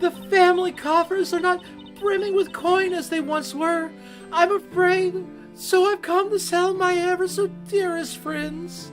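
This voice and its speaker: A breathy, put-on character voice moves at a fairly slow pace over clear music in the background. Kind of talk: archaic, formal. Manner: dramatic, woeful, overly polite.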